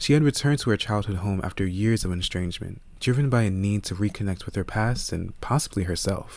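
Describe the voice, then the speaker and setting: A man speaks at a fairly quick pace in a fairly low voice with ordinary pitch variation and an unremarkable speaking voice. The recording is very clean with a silent background. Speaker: voice actor, audiobook narrator. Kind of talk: audiobook narration, fiction reading.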